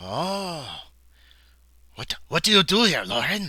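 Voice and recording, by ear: A man puts on a character voice, pitched high and delivered fairly slowly.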